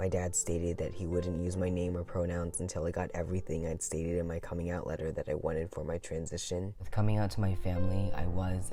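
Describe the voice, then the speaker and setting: Music plays behind a man with a very deep, low pitch and a serious tone. He talks at a fairly quick pace with hardly any pauses. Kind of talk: personal narration. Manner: earnest, serious.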